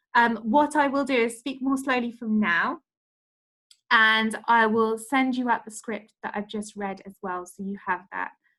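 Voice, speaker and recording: A woman speaks fairly slowly with a bright, sharp tone and a fairly high pitch. Her loudness swings widely while her pitch moves in an ordinary way. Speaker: direct sales trainer. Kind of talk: online training session. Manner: animated.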